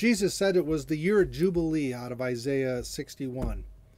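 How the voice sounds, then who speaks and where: On a very clean recording with a silent background, a man with an American accent speaks at a fairly high pitch in a dark, mellow tone. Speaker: pastor. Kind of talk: sermon.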